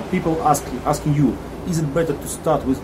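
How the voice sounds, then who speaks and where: A man with a Russian accent at a fairly quick pace, ordinary pitch variation and noticeable background noise. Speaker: narrator and commentator. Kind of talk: scripted narration.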